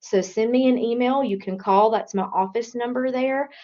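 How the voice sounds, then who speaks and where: Using an ordinary speaking voice, a woman talks at a moderate pace with fairly even intonation. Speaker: career services specialist. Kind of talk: online workshop presentation.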